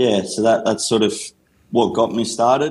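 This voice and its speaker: Speaking in an Australian accent, a man keeps his voice at a medium pitch. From Australia, country Victoria (Gippsland). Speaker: rehab and conditioning coach. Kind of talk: interview.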